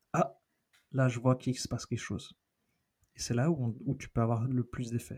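A man speaks at a moderate pace and medium pitch, somewhat breathy, with fairly even intonation and long, frequent pauses. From raised in many countries (diplomat family), born in Argentina. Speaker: researcher and NGO director. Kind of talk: casual interview chat.

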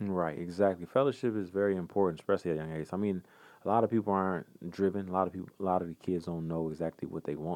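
A man with an American accent speaks at a very fast pace over a quiet background. His pitch is very deep and low, with fairly even intonation. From Michigan, Detroit area. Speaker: former pro football player. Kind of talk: interview.

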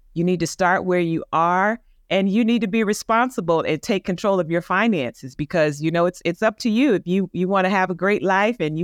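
Speech moves along at a moderate pace. The background is quiet. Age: 50s. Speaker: financial representative and educator. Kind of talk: interview.

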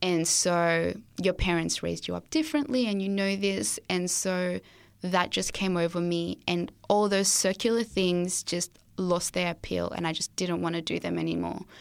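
An Australian accent at a moderate pace, on a very clean recording with a silent background. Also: woman, fairly low pitch for a woman, ordinary pitch variation. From Zimbabwe. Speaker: student guest sharing testimony. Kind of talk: testimony, interview. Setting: studio.

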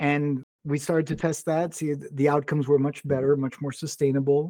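A man's fairly high-pitched voice with a dark, mellow tone, fairly even intonation and a moderate pace. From Brazil. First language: Portuguese. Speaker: tech company founder. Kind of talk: interview. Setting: live stream.

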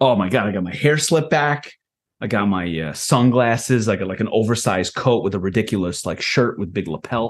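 At a fairly quick pace, a man with a plain, everyday voice talks in a fairly low pitch with lively intonation. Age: 40s. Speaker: software founder. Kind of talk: casual chat.

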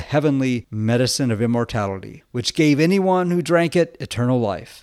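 A man with an ordinary speaking voice talks at a moderate pace with lively intonation. The recording is very clean, with a silent background. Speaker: Orthodox priest podcaster. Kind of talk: folk tale narration, storytelling a myth in a gentle, measured storyteller's voice.

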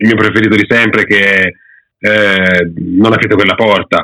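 His pitch sits fairly low. The man uses a normal speaking voice at a moderate pace. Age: 30s. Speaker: manga YouTuber, former comics student. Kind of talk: casual interview chat.

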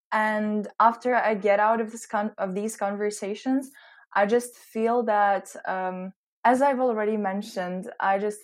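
A woman with a normal speaking voice talks at a moderate pace with fairly even intonation. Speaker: interviewee, recent graduate. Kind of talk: casual interview.

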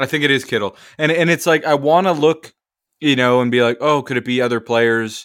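Over a silent background in a very clean recording, a man talks fairly quickly at medium pitch, his loudness very even and his pitch varying in an ordinary way. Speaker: football reporter and podcast co-host. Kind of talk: casual chat.

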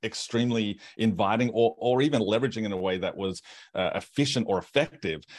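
On a very clean recording with a silent background, a man with an Australian accent speaks at a medium pitch with ordinary pitch variation. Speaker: pastor and author. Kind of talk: casual interview.

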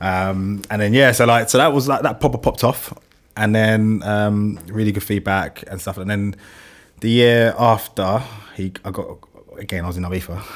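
A man with a London accent, fairly low pitch and ordinary pitch variation. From West London. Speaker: illustrator and motion designer, studio founder. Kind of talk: casual podcast interview. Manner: fast talker.

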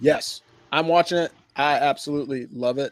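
A man's fairly high-pitched voice, dry and close with no echo. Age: 40s. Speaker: podcast host, army officer. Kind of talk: casual sports chat.

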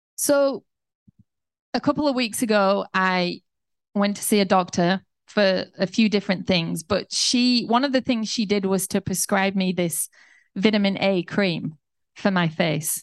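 Heard as an ordinary speaking voice, the speech moves at a fairly slow pace with ordinary pitch variation and very even loudness, recorded dry and close with no echo against a quiet background. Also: woman, medium pitch for a woman. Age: 40s. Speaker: pastor. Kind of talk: sermon.

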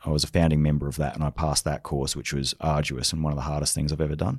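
In an Australian accent, a man talks with a very deep, low pitch. His intonation is monotone and flat. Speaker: leadership speaker and former special forces soldier. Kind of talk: interview conversation.

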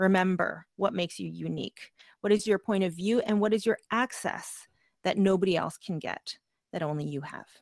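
With a Canadian accent, a woman talks in an ordinary speaking voice at medium pitch and a moderate pace, her pitch varying in an ordinary way, in a dry, close sound with no echo. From Canada. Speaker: podcast producer. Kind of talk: workshop presentation. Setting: video call.

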